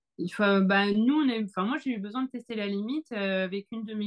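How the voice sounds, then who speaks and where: A woman's plain, everyday voice at medium pitch and a moderate pace, dry and close with no echo over a quiet background. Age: 40s. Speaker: author and photographer. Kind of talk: interview answer.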